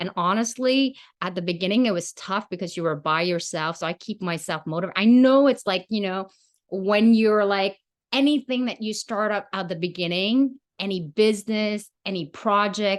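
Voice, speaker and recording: A woman with a plain, everyday voice at medium pitch, ordinary pitch variation and a moderate pace against a quiet background. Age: 40s. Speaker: podcast host. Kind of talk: casual chat.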